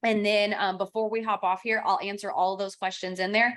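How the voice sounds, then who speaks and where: Talking at a fairly quick pace, a woman with a medium pitch speaks in a slight Kentucky accent. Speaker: real estate trainer and coach. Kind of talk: online training class. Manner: animated.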